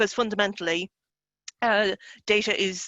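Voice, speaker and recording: A woman speaks in a medium pitch with fairly even intonation. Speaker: journal editor. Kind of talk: panel discussion. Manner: fast.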